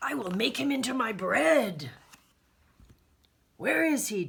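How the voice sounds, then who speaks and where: A put-on character voice comes through raspy and fairly high in pitch. It moves at a fairly slow pace. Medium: read story. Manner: blustering, menacing.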